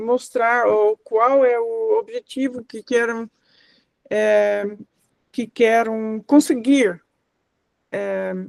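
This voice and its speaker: A woman's fairly high, monotone, flat voice at a very slow pace, with long, frequent pauses, big swings in loudness, and a dry, close sound with no echo. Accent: non-native. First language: not Portuguese (speaking Portuguese). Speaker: course facilitator. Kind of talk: workshop class discussion. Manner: halting, many fillers.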